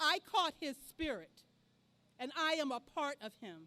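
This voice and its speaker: This woman's voice is raised and projected, with a bright, sharp tone. Her pitch swings very widely. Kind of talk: oral storytelling; speech at outdoor rally. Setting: outdoor rally in a park.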